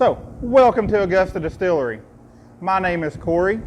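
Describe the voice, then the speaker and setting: A man in an Eastern Kentucky accent, with lively intonation at a moderate pace. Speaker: distillery tour guide. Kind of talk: guided tasting tour. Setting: distillery tour with visitors. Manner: jokey, conversational.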